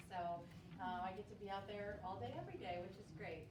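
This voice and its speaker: A woman's moderate pace is heard amid audible room echo and noticeable background noise. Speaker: accountant and fair board president. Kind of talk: presentation to conference audience. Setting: conference room with microphone and audience. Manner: loud.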